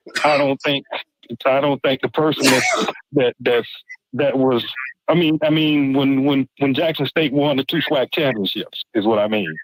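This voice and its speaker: The sound is dry and close with no echo as a man with a fairly high voice speaks at a moderate pace, keeping his loudness very even and his intonation fairly even. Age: 60s. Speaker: HBCU alumnus and football supporter. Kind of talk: casual chat. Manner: halting, many repeated words.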